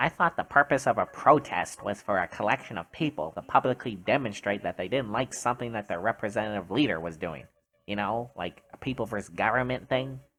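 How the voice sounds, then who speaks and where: Using a put-on character voice, a man talks at a fairly quick pace in a nasal, medium-pitched voice with hardly any pauses. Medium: dub.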